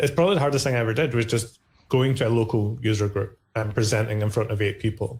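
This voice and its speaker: A man with a Scottish accent speaks at a very fast pace, his pitch medium and his voice somewhat breathy. His intonation is fairly even, his loudness very even, and the recording very clean with a silent background. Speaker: cloud-native community ambassador. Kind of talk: podcast interview. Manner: casual, hesitant with repetitions.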